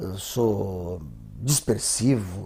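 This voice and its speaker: Somewhat breathy and dark, mellow in tone, the man's voice shows ordinary pitch variation. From southern Brazil, border region (Santiago, Rio Grande do Sul). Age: 60s. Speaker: cartoonist. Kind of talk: interview. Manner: halting, repeats words.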